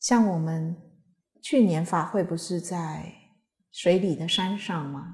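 The speaker, somewhat breathy, goes at a very slow pace with long, frequent pauses and big swings in loudness. The background is quiet. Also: woman, fairly low pitch for a woman, ordinary pitch variation. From Taiwan. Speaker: Buddhist teacher. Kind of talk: Dharma lecture with anecdotes. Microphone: podium.

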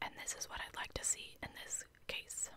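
A soft-spoken whisper over noticeable background noise. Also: woman. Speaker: true crime storyteller. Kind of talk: true crime narration reading quotes. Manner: soft close-mic whisper. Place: home room. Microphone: studio mic.

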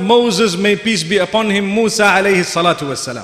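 A man talks at a high pitch. Room echo can be heard. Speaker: speaker. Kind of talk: sermon. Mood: calm, measured. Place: church.

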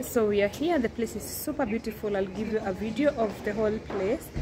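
With noticeable background noise, a woman speaks at a moderate pace with ordinary pitch variation. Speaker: vlogger. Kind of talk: casual vlog chat. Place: hall. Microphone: phone near.

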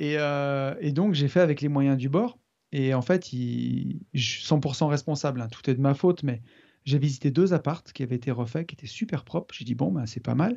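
A man talks at a moderate pace in a dark, mellow tone, with a fairly high pitch. His pitch varies in an ordinary way, and the background is quiet. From France, Loire near Saint-Étienne. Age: 40s. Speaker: property developer and investor. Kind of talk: interview. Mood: relaxed, rueful anecdote. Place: home room. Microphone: studio mic.

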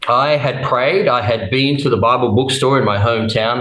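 At a moderate pace, a man speaks in a room with audible echo. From Australia, Brisbane in Queensland. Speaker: testimony guest; guest. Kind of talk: testimony.

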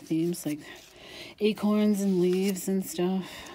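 A woman with a dark, mellow tone speaks at a fairly slow pace over light background noise. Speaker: craft channel host selling journals. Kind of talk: casual video flip-through narration. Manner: chatty, casual, laughs often. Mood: relaxed, chatty. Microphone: camera far.

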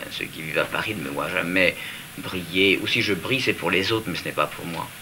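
A man speaks at a fairly quick pace in a very deep, low voice with ordinary pitch variation, over noticeable background noise. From Italy. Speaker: fashion designer. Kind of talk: interview answer. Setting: archive TV interview at home. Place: home room.

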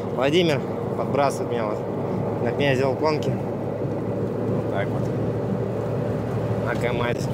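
Over loud background noise, a man talks very slowly with ordinary pitch variation in a dry sound with no echo. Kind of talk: casual vlog chat. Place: car. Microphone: phone near.

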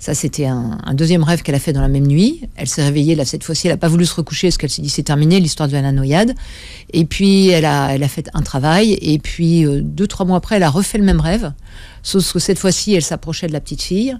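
A woman's fairly low-pitched, dark and mellow voice at a very fast pace, with ordinary pitch variation and a dry sound free of echo. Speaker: guest. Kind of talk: interview answer. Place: studio. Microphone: studio mic.

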